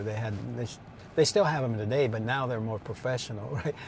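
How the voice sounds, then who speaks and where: A somewhat breathy man with an American accent, a fairly quick pace and ordinary pitch variation, on a very clean recording with a silent background. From Imperial Valley, California. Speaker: former farmworker. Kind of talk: interview. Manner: hesitant, many fillers.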